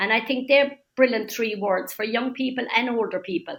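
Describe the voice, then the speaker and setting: In a Cork accent, a woman talks with ordinary pitch variation. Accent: Cork Irish. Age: 70s. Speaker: older persons' council member. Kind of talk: interview. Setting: webinar. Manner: animated.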